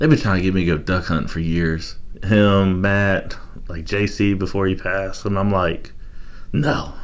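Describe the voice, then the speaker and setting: A man speaks with a very deep, low pitch and ordinary pitch variation, in a slight Southern US accent. Audible room echo is present. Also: moderate pace. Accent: slight southern accent picked up. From Baltimore, Maryland area. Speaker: real estate broker and former correctional officer. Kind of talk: casual chat.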